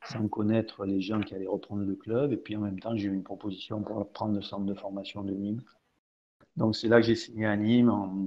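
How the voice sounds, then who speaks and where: A man speaks in a plain, everyday voice, pitched fairly low. He talks at a fairly quick pace with fairly even intonation. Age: 60s. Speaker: football coach. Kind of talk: interview. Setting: live stream talk show.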